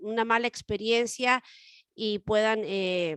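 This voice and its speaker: A woman speaks at a very slow pace in a fairly high voice. The sound is dry and close with no echo, over a quiet background. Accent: Chilean. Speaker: radio co-host. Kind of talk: casual chat.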